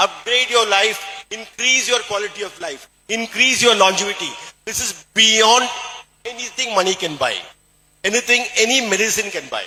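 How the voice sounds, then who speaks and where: A man's raised, projected, high-pitched voice with a Keralan accent, ordinary pitch variation and a moderate pace. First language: Malayalam. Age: 60s. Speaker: doctor and supplement distributor speaker. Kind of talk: motivational talk.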